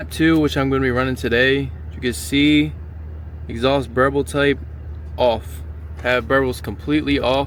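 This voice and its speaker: A man talks at a medium pitch and a moderate pace, his pitch swinging very widely while his loudness stays very even. Noticeable background noise runs underneath. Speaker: car enthusiast vlogger. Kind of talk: casual car vlog walkthrough. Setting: car wash. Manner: casual, stumbling over words.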